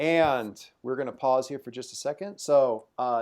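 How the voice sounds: Quiet surroundings, a natural reading voice, and ordinary pitch variation.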